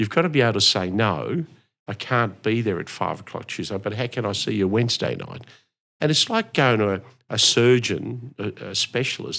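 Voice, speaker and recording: With an Australian accent, a man speaks at a medium pitch and moderate pace, using ordinary pitch variation. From Melbourne, Australia (born in Italy, arrived 1964). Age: 60s. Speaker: real estate auctioneer. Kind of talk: interview.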